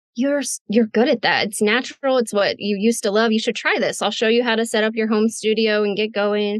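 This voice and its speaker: With an American accent, a woman speaks at a fairly quick pace in a fairly high pitch, her loudness very even and her intonation monotone and flat. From Midwestern United States. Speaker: voice actor. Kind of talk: interview answer.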